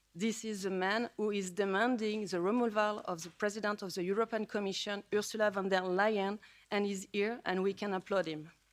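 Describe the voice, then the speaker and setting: Speaking in a French accent with monotone, flat intonation and hardly any pauses, a woman at a medium pitch is heard on a very clean recording with a silent background. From France. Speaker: politician. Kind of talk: speech. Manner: halting.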